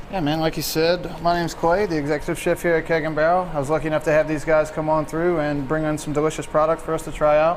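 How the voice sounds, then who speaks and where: Over noticeable background noise, a man with a fairly high pitch rushes at a very fast pace with hardly any pauses and monotone, flat intonation. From Louisiana, Chalmette (New Orleans area). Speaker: chef. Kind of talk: casual interview on camera.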